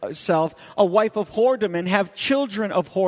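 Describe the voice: Just plain reading aloud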